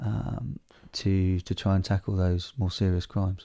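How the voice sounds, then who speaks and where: A man with a southern English accent speaks at a fairly slow pace in a very deep, low pitch and a dark, mellow tone. The recording is very clean, its background silent. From southern England. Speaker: wildlife conservation charity CEO. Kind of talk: casual chat. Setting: at home by a fire.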